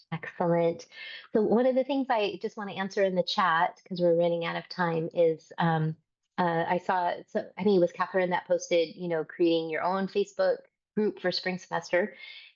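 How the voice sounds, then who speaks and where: A woman with an unremarkable speaking voice talks at a moderate pace and medium pitch with ordinary pitch variation. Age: 50s. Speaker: death doula teacher. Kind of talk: Q&A session hosting.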